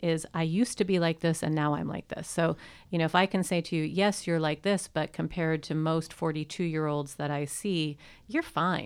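In an ordinary speaking voice, a woman talks at a fairly quick pace with a fairly low pitch and fairly even intonation, in a very clean recording with a silent background. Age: 40s. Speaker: sexological bodyworker and sex educator. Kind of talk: casual interview. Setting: studio.

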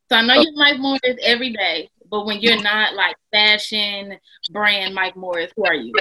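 A woman speaks in a plain, everyday voice with an American accent, fairly high in pitch. Her pace is moderate and her pitch variation ordinary. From Texas, Houston. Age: 20s. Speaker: fashion stylist and podcast host. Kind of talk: casual interview chat.

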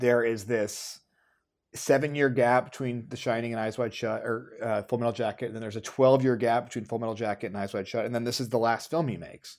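In a very clean recording with a silent background, a man talks at a fairly quick pace and medium pitch. He has an unremarkable speaking voice with ordinary pitch variation. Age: 30s. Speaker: filmmaker. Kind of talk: casual chat.

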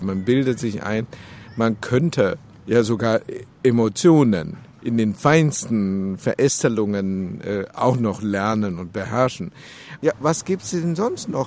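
Using lively intonation, a man speaks at a very slow pace in a medium pitch. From China, Beijing. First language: Chinese (speaking German). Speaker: interviewee. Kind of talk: interview.

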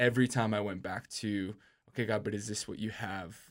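A man talks in a normal speaking voice with a fairly low pitch and fairly even intonation. The recording is very clean, with a silent background. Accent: American. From Minnesota, Minneapolis. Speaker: youth pastor and worship leader. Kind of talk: casual chat.

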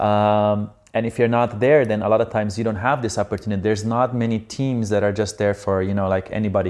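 A man with a Slovenian accent speaks at a very fast pace with hardly any pauses. His voice is fairly low, with fairly even intonation. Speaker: professional beach volleyball player. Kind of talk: casual interview conversation.

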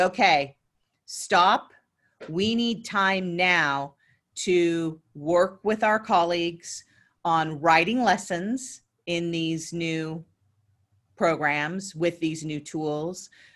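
Ordinary pitch variation marks this woman's voice. She talks at a very slow pace. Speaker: podcast co-host, school administrator. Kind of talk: casual chat.

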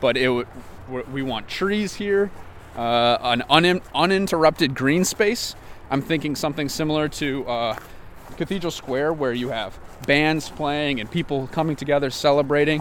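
A man talks in an American accent with a plain, everyday voice. His pitch varies in an ordinary way. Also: fairly high pitch for a man, moderate pace. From Wisconsin. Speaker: urbanist and project founder, former Marine. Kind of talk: tour guide walking the site, pointing out landmarks; casual interview. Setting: outdoors on location by the freeway spur. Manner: conversational, fairly fluent with filler words.

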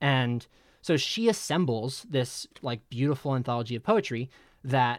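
A man's ordinary speaking voice, medium in pitch, with an American accent and lively intonation. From New Jersey (Middletown). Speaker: nonprofit grants worker, paper author. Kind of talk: casual interview chat. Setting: video call.

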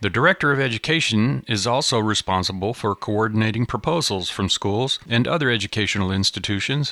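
With a bright, sharp tone and lively intonation, a man talks at a fairly quick pace with hardly any pauses and very even loudness, in a dry, close sound with no echo. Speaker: news reporter. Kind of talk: scripted news reporting.

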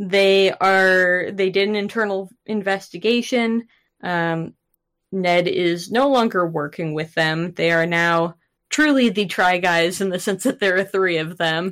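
In a very clean recording with a silent background, a woman with a plain, everyday voice talks at a fairly slow pace, at medium pitch with ordinary pitch variation. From Canada. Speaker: podcast co-host. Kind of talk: casual chat.

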